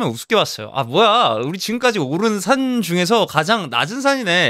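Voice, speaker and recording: A man with a slight Jeju accent talks at a moderate pace in an animated, bright, sharp tone with very wide pitch swings. The recording is very clean and dry, close with no echo and a silent background. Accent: slight Jeju intonation. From Jeju as small child, then Ilsan near Seoul. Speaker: actor and vlogger. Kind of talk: vlog storytelling.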